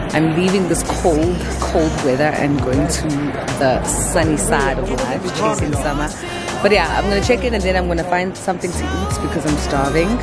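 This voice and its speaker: A woman speaks at a moderate pace over loud music in the background, in a dry sound with no echo. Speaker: travel vlogger. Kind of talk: casual vlog chat. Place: station. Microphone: phone near.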